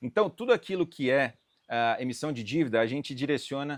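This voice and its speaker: A man with a strong Minas Gerais accent speaks at a medium pitch and a fairly quick pace, with ordinary pitch variation. The sound is dry and close with no echo, over a quiet background. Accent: strong mineiro accent, kept. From Brazil, Minas Gerais (Uberlândia). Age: 30s. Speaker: M&A advisor in agribusiness. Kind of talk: podcast interview. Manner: hesitant, many filler 'ah'.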